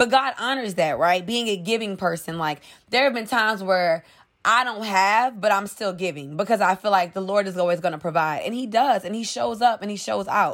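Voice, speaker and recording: At a moderate pace, a woman with a medium pitch and ordinary pitch variation speaks in a plain, everyday voice. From New Orleans, Louisiana, US South. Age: 20s. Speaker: entrepreneur, clothing brand founder. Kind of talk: podcast interview.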